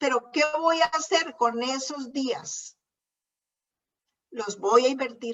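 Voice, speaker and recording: Long, frequent pauses mark this woman's very slow speech, delivered at a high pitch with ordinary pitch variation. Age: 60s. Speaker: preacher. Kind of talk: sermon.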